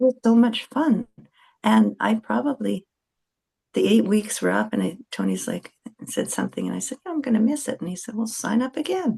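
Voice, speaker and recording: A woman's voice at a moderate pace, dry and close with no echo. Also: big swings in loudness. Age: 60s. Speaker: podcast guest. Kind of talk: casual chat.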